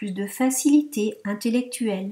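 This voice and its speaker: With a dark, mellow tone, a woman speaks at a fairly slow pace using lively intonation. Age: 60s. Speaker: yoga teacher giving a testimonial. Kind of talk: testimony.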